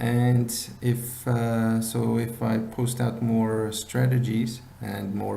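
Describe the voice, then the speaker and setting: Audible room echo and noticeable background noise surround this man's speech. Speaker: binary options trading instructor. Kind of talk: tutorial. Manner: halting.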